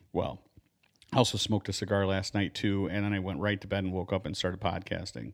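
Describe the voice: A raspy, put-on character voice from a man, fairly low in pitch, with fairly even intonation and a very fast pace.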